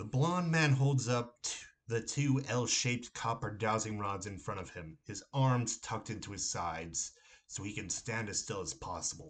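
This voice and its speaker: A man with an American accent speaks at a moderate pace. His somewhat breathy voice carries lively intonation. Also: medium pitch for a man. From Ohio, USA. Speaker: horror novelist. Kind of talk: horror story reading by the author.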